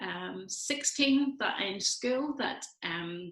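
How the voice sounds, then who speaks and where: In a Belfast accent, a woman speaks with ordinary pitch variation. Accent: Belfast Northern Irish. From Northern Ireland, Belfast. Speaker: church community coordinator and food bank worker. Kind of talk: casual interview.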